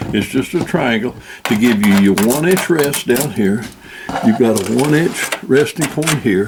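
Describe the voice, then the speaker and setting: Over noticeable background noise, a man speaks at a fairly slow pace and medium pitch, with lively intonation and very even loudness. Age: 80s+. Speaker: outdoorsman demonstrating shooting rests. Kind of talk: tutorial. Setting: at the farm.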